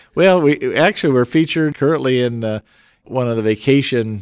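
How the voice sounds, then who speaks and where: A man with an American accent has an unremarkable speaking voice, medium pitch and ordinary pitch variation, recorded with a dry, close sound and no echo. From Colorado (Fort Collins). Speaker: city mayor and engineering professor. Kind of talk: interview.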